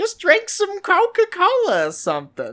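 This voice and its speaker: A female-sounding, put-on character voice pitched extremely high. The delivery moves at a moderate pace. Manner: dismissive, motherly advice.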